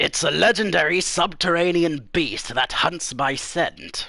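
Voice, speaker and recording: A man uses a put-on character voice at a high pitch. He speaks fairly slowly with ordinary pitch variation. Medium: read story. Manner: dismissive, offhand.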